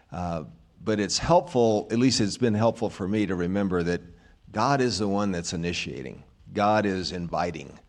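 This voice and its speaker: A man speaks with an American accent in a normal speaking voice. His pace is moderate. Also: fairly low pitch for a man, ordinary pitch variation, quiet background. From US South, rural Arkansas. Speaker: minister. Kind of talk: testimony. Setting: church.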